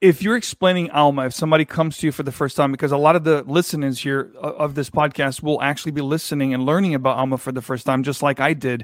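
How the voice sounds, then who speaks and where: A man with a fairly high voice talks very fast in an enthusiastic tone. The recording is very clean, with a silent background. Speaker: podcast host. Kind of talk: interview.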